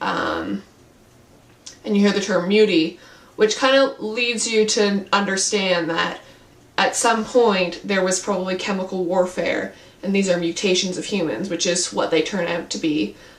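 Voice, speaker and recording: Pitch rises and falls in an ordinary way at a moderate pace. There is noticeable background noise. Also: woman, medium pitch for a woman. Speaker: book reviewer. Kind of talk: casual talk to camera.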